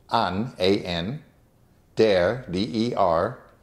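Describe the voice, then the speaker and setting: With vocal fry, a man speaks at a fairly low pitch with ordinary pitch variation. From Germany. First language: German. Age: 70s. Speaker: interviewee, son of a rescuer. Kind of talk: oral history interview.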